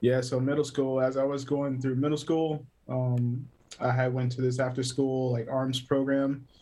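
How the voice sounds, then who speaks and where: In an American accent, a man with a dark, mellow tone and medium pitch speaks at a moderate pace, his intonation monotone and flat and his loudness very even. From US South, South Carolina (Greer). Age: 30s. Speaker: photographer and cinematographer. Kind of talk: casual interview chat. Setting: remote call.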